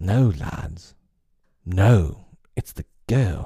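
In a put-on character voice, a man speaks with a low pitch, a dark, mellow tone, a husky, rough edge and vocal fry, keeping a very slow pace and lively intonation.

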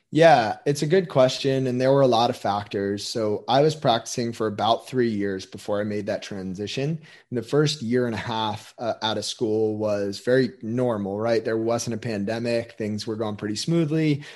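A normal speaking voice from a man of medium pitch, at a moderate pace with hardly any pauses and ordinary pitch variation, over a quiet background. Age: 20s. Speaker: physical therapist and performance coach. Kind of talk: interview conversation.

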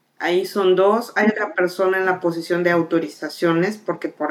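This woman has a plain, everyday voice. Her pitch variation is ordinary. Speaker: air traffic controller. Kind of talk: interview conversation.

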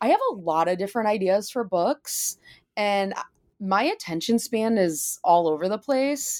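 With an American accent and a plain, everyday voice, a woman speaks at a medium pitch and a fairly slow pace with lively intonation, on a very clean recording with a silent background. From Michigan, US Midwest. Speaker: author and musician. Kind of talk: interview. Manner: casual with many fillers.

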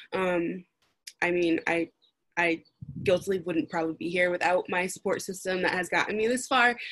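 A woman speaks at a fairly low pitch. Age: 20s. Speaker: student, preschool teacher. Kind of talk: casual chat. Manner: hesitant, many fillers.

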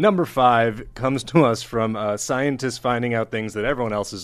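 This man has a plain, everyday voice, medium in pitch with ordinary pitch variation. He talks at a moderate pace against a quiet background. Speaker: podcast host and stand-up comedian. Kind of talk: casual comedy podcast chat. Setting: studio with mic near chin.

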